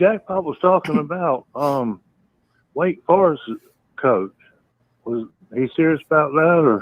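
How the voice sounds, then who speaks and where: A man with a Southern US accent speaks at a fairly slow pace and fairly high pitch, with lively intonation and long, frequent pauses. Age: 60s. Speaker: caller. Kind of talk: call-in chat. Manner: halting.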